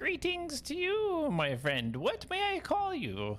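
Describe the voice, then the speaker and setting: In a put-on character voice, someone speaks high-pitched and fairly slowly over clear background noise. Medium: actual play. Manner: jovial, welcoming.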